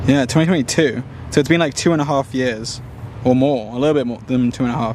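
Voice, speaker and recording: A man's medium-pitched voice with an American accent, fairly even intonation and a very fast pace over noticeable background noise. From England. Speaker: streamer. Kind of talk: casual chat. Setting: livestream.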